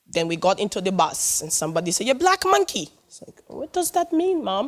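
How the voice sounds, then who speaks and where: A woman with a West African accent, talking at a fairly quick pace. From Sierra Leone. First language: not English. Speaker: public speaker. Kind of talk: personal testimony talk. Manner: animated.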